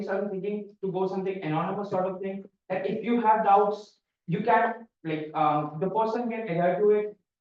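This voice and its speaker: Speaking at a moderate pace, a man with a high pitch keeps a fairly even intonation. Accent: non-native. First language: not English. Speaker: student election candidate. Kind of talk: debate answer. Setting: stage with audience. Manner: halting.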